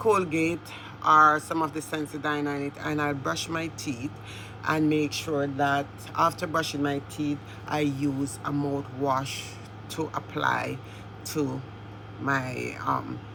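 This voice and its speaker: A woman with a very deep, low pitch speaks very slowly, with long, frequent pauses and ordinary pitch variation, over noticeable background noise. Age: 60s. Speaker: beauty and lifestyle vlogger. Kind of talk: casual tutorial vlog.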